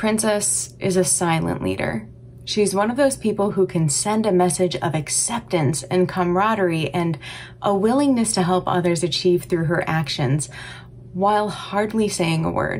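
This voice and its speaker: A woman with a fairly low pitch speaks at a moderate pace with lively intonation, over light background noise. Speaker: music teacher. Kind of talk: tribute speech. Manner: polished, scripted. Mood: warm, proud. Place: home room. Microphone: webcam.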